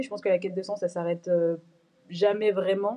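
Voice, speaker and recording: The woman's tone is dark and mellow, her intonation fairly even. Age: 20s. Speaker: fashion brand co-founder. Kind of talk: interview.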